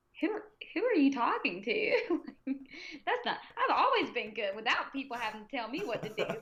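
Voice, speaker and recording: Over noticeable background noise, a woman with an American accent speaks at a moderate pace in a high pitch with very wide pitch swings. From US South. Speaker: powerlifter and pre-K teacher. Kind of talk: casual interview chat. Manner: loud; animated.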